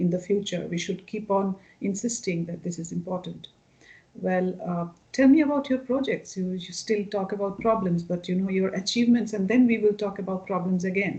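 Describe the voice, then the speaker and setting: A woman's somewhat breathy voice in a Bengali accent, medium in pitch with a dark, mellow tone, ordinary pitch variation and a fairly quick pace. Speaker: cultural center head, interviewer. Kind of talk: interview.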